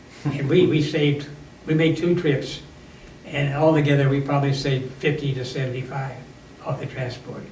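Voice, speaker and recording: A man's monotone, flat intonation against noticeable background noise. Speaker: WWII Coast Guard veteran. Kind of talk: interview answer.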